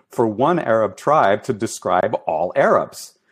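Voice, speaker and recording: A man's medium-pitched voice at a moderate pace, over a quiet background. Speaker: professor of Iranian studies. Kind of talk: academic interview. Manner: hesitant, many fillers, lecturing.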